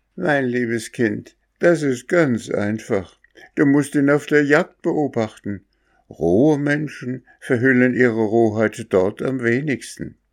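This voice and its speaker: Over a quiet background, a man of medium pitch talks at a very slow pace with ordinary pitch variation. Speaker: storyteller reading a fairy tale. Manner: calm, storyteller's pacing, gently expressive.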